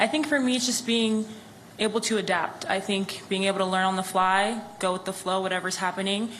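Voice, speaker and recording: In a room with audible echo and noticeable background noise, a woman talks at a very fast pace in a monotone, flat intonation. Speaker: professional basketball player, draft pick. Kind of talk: press conference answers.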